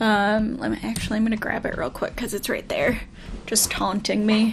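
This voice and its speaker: With a Midwestern US accent, a woman speaks at a fairly high pitch. Her voice is somewhat breathy. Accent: General American, Midwestern. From US Midwest. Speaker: let's play streamer. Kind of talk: casual gameplay commentary.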